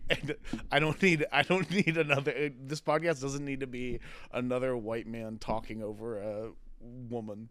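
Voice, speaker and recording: A man's medium-pitched voice at a moderate pace, with ordinary pitch variation, in a very clean recording with a silent background. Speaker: podcast host and comedy show organizer. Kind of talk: casual chat. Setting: studio. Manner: loud.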